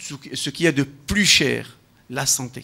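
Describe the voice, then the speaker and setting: The speaker is a man with a fairly high pitch. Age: 60s. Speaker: health professional, panel speaker. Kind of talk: round-table talk. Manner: halting, with repetitions.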